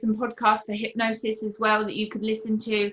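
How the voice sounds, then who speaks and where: This woman's voice is fairly high and has a bright, sharp tone, moving at a moderate pace. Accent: British. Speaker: permanent makeup artist. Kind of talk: interview conversation. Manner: quiet.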